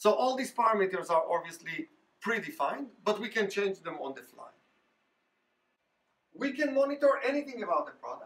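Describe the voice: A man speaks at a high pitch and a moderate pace, with big swings in pitch. His tone is fairly bright, with a slightly husky edge.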